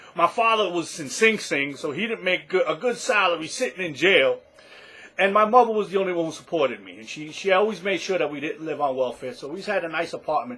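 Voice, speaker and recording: Someone with a New York accent talks at a very fast pace with lively intonation and big swings in loudness, over noticeable background noise. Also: man, high pitch for a man. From New York City, the Bronx. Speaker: online business vlogger. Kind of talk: personal story to camera. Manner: casual, halting with repetitions.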